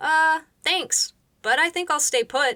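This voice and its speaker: This squeaky, put-on character voice moves at a fairly slow pace with lively intonation. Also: woman. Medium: read story. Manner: awkward, polite.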